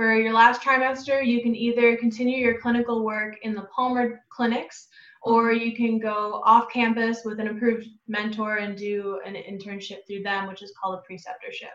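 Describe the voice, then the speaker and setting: A woman speaks at a moderate pace in a bright, sharp tone. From Wisconsin. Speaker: chiropractic student. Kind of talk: interview.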